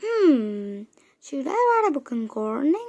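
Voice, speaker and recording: The speaker uses a put-on character voice at a fairly slow pace. The pitch swings very widely throughout. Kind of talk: children's book read-aloud. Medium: read story.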